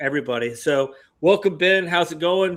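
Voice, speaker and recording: A man speaks with an Alabama accent and ordinary pitch variation. The recording is very clean, with a silent background. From US South, Alabama. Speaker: podcast host, veteran. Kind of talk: casual podcast chat.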